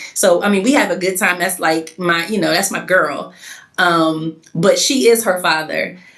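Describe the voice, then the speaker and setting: At a moderate pace, a woman with an American accent speaks at a fairly low pitch with ordinary variation over noticeable background noise. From US, Connecticut (Windsor). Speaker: coach's wife and mother. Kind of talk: casual interview. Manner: loud.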